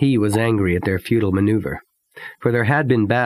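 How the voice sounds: Quiet background behind a natural reading voice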